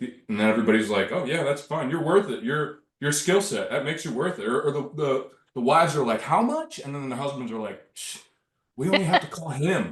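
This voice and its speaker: A man's somewhat breathy, fairly high voice, with lively intonation and a fairly quick pace. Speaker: handyman contractor, small business owner. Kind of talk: casual group discussion.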